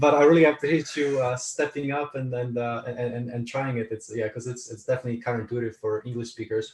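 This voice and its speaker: Delivered with a Polish accent, the speech moves at a very fast pace with fairly even intonation and hardly any pauses. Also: man, medium pitch for a man. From Poland, moved to California at 14. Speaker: author and speaker, army veteran. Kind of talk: interview conversation. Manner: repetitive, halting with frequent restarts.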